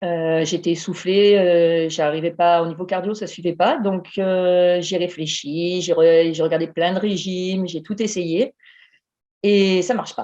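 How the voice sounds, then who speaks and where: Very slowly, a woman speaks with fairly even intonation. Her voice is fairly low in pitch, with a dark, mellow tone. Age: 40s. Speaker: emergency nurse, coaching client. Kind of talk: interview testimony.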